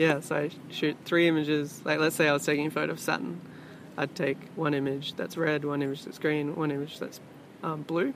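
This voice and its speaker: Soft-spoken and mumbling, a man talks in an Australian accent. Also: fairly high pitch for a man. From Sydney, Australia. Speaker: musician and creative. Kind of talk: casual interview chat. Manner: soft-spoken, mumbly.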